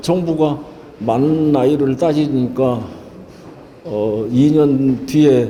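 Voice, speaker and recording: A man's very slow, fairly high voice with fairly even intonation and long, frequent pauses, with audible room echo and noticeable background noise. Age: 70s. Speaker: painter and poet. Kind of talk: interview. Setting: gallery exhibition opening. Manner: halting, many filler sounds.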